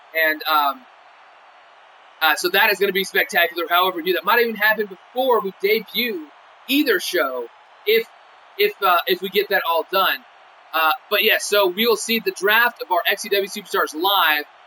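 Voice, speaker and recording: A man with a high pitch uses a raised, projected voice at a moderate pace. His pitch varies in an ordinary way, with noticeable background noise behind him. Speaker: wrestling game show announcer. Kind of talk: post-show commentary livestream. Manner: rambling with many fillers.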